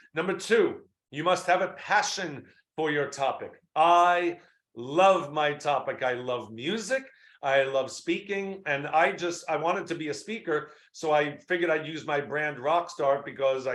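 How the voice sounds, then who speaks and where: A man with an unremarkable speaking voice talks at a moderate pace in a fairly high pitch, with ordinary pitch variation and a quiet background. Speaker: marketing speaker and webinar host. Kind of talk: webinar presentation.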